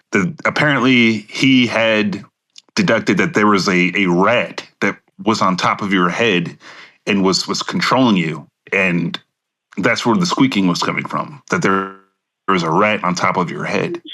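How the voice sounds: A man uses a put-on character voice with a low pitch. He goes at a fairly slow pace in a bright, sharp tone. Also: ordinary pitch variation.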